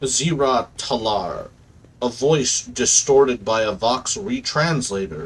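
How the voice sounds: The voice heard here reads naturally.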